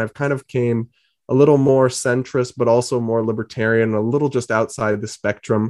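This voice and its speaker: Speaking at a fairly quick pace with an American accent, this ordinary speaking voice shows ordinary pitch variation, with dry, close sound, no echo and a quiet background. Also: man. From New England (Massachusetts and Rhode Island). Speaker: political journalist. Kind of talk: interview.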